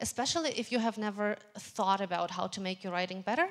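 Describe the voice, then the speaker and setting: A fairly quick pace with ordinary pitch variation, in a non-native accent. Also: woman. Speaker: tech meetup speaker. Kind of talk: lightning talk.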